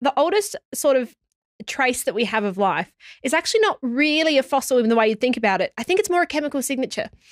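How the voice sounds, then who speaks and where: Very fast, high-pitched woman's voice with an Australian accent, very wide pitch swings, very even loudness, and a dry sound with no echo. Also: quiet background. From Australia (Sydney). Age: 20s. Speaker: geoscience podcast host. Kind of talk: casual chat. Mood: enthusiastic, wondering. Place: studio. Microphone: studio mic.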